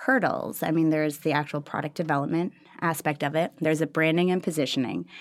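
Speaking at a very fast pace, a woman has a very deep, low pitch and an American accent. Her pitch varies in an ordinary way. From Minnesota, Minneapolis. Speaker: startup accelerator leader. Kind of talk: interview.

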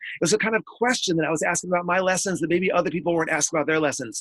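A man's high-pitched, energetic voice with ordinary pitch variation, in a dry, close sound with no echo. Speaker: author and education speaker. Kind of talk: interview. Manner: fast.

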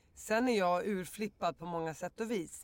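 At a medium pitch and a fairly slow pace, a woman talks in an ordinary speaking voice with ordinary pitch variation. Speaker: podcast guest. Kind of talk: casual chat. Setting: studio.

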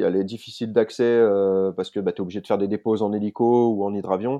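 Over a quiet background, a man with a fairly low pitch talks at a moderate pace with fairly even intonation. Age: 40s. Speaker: adventurer and bushcraft instructor. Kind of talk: interview.

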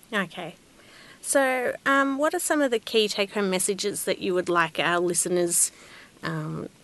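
A woman with an Australian accent, ordinary pitch variation and a quiet background. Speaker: podcast host. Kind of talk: interview.

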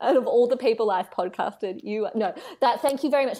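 At a fairly quick pace, a woman speaks in a high pitch. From Australia, Canberra. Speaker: writer and commentator, former political staffer. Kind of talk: casual interview chat.

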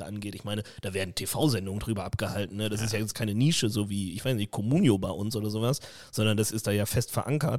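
A man with a normal speaking voice talks at a fairly quick pace and a fairly low pitch, with fairly even intonation. The recording is very clean, with a silent background. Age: 30s. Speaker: podcast co-host. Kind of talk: casual chat.

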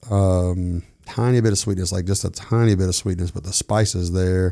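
Very deep, low male voice with a dark, mellow tone and fairly even intonation, on a very clean recording with a silent background. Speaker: whiskey enthusiast. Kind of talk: casual chat with whiskey tasting.

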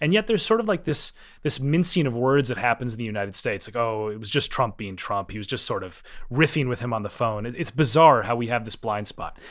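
A man at medium pitch with ordinary pitch variation and an American accent, talking at a very fast pace in a very clean recording with a silent background. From US Midwest, Minnesota. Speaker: political scientist, professor and author. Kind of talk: interview discussion.

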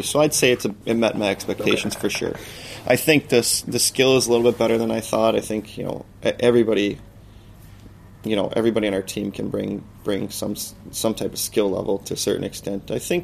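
A man with an American accent and an unremarkable speaking voice talks at a fairly quick pace and a fairly low pitch. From USA. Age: 30s. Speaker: professional ice hockey player. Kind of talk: casual interview.

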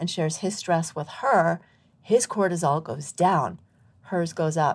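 A plain, everyday voice moves at a moderate pace with ordinary pitch variation in a very clean recording with a silent background. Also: woman. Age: 50s. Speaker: midwife and medical doctor. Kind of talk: interview conversation. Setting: live recording venue.

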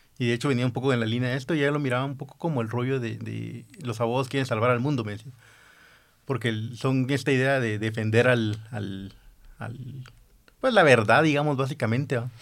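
A man speaks in a normal speaking voice at medium pitch. His intonation is fairly even and his pace fairly quick. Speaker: podcast host. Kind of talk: casual chat.

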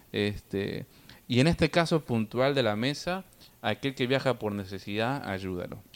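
Using a normal speaking voice, a man talks at a medium pitch with lively intonation. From Argentina. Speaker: podcast guest, immigrant. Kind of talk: casual chat.

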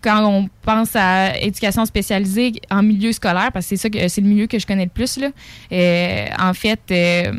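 An unremarkable speaking voice from a woman, medium pitch, fairly even intonation, fairly slow pace, dry, close sound with no echo. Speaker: psychoeducator. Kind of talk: casual interview.

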